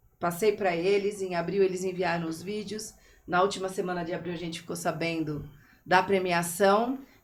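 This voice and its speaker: A woman with a medium-pitched voice keeps a moderate pace while her loudness swings widely. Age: 50s. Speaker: teacher. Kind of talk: podcast interview. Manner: animated.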